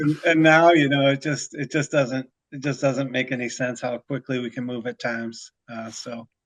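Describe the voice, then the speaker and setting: With hardly any pauses, a man with a Chicago accent speaks in fairly even intonation but big swings in loudness, the sound dry and close with no echo. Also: medium pitch for a man, moderate pace. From Chicago, north side. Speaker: commodities risk management broker. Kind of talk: casual podcast chat. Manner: hesitant, many filler uhs.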